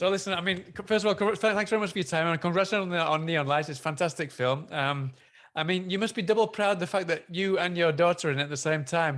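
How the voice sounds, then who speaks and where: With an English accent and lively intonation, a man talks at a very fast pace against a quiet background. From northern England, near Manchester. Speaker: film interviewer. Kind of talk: interview. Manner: halting.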